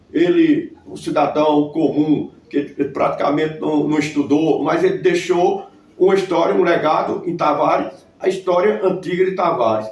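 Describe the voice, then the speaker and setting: With noticeable background noise behind him, a man talks at a moderate pace in a high pitch with ordinary variation. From Brazil, Northeast (Paraíba sertão). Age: 60s. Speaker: local historian. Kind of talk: interview. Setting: at his home.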